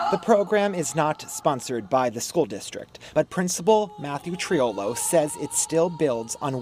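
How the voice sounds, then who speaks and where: A man with a fairly high voice speaks at a fairly slow pace with hardly any pauses. His pitch swings very widely, and music plays in the background. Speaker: TV lifestyle host and reporter. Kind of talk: TV news feature narration.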